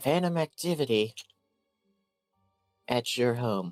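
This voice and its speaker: A put-on character voice sits at a low-to-middle pitch and a fairly slow pace. Faint music plays in the background. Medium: actual play.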